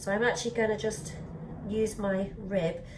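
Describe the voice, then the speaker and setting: A British accent with audible room echo. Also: woman. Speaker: pottery teacher. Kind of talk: tutorial.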